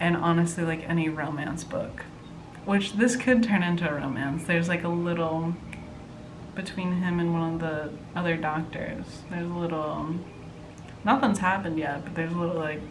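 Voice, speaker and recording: A woman talks at a fairly low pitch and moderate pace with ordinary pitch variation. Audible room echo and noticeable background noise surround her. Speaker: book vlogger. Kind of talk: casual chat.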